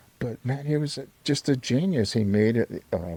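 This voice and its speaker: A fairly slow male voice, dark and mellow in tone, with lively intonation and a dry, close sound free of echo. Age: 70s. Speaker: musician. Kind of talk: casual chat. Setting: studio. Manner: halting.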